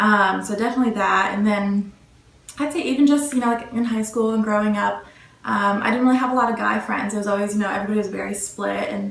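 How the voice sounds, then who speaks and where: A soft-spoken woman with a fairly high pitch talks at a very fast pace in fairly even intonation over noticeable background noise. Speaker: college student interviewee. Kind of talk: interview answers.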